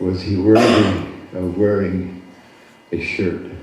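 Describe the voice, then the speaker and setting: There is audible room echo and noticeable background noise as a man talks with an American accent. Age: 70s. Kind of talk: storytelling at a community gathering; address to gathering.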